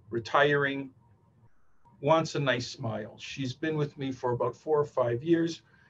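A man's somewhat breathy voice at a fairly slow pace, with fairly even intonation and light background noise. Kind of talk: lecture. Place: office. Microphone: webcam.

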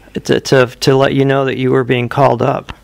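At a medium pitch, a man speaks in a normal speaking voice. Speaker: interviewer. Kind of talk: interview questions.

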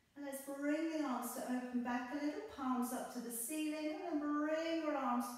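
Soft-spoken and high-pitched, a woman keeps her intonation fairly even amid strong room echo. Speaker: yoga instructor. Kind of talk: guided yoga class, calm step-by-step cueing synced to breath. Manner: slow, soothing, gentle and unhurried; soft-spoken, instructive, with pauses between cues. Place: home room. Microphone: camera far.

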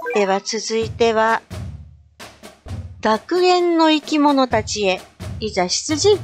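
A woman speaks at a very slow pace in a fairly high voice with very wide pitch swings. She leaves long, frequent pauses while music plays in the background. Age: middle-aged. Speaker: game streamer. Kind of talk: game commentary.

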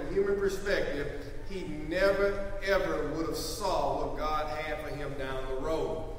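Over light background noise and audible room echo, a man talks in a high pitch with ordinary pitch variation. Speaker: preacher. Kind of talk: sermon. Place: church. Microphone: podium.

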